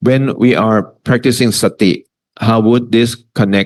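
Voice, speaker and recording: A man at medium pitch, speaking at a fairly slow pace. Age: 60s. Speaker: Buddhist teacher. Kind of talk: lecture Q and A. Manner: halting.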